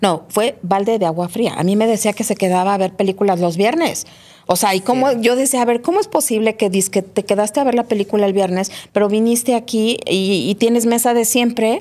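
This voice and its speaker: A woman speaks at a fairly quick pace in a dark, mellow tone, her loudness very even and her pitch varying in an ordinary way. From Mexico City. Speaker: writer and therapist; guest. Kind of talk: personal testimony interview. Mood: reflective, earnest. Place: studio. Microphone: studio mic.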